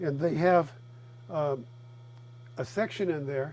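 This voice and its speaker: At a very slow pace, a man talks. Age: 70s. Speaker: master potter. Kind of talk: tutorial. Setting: pottery studio.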